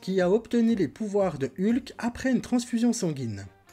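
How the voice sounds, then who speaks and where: Dark and mellow in tone, a man speaks at a fairly slow pace. His intonation is lively. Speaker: film review YouTuber. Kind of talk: weekly film review monologue. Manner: casual, colloquial.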